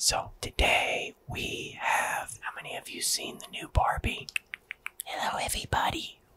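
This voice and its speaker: The speaker, a man, talks in a whisper. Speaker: ASMR creator. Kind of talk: soft ASMR vlog chat with doll play. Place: home room. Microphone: studio mic.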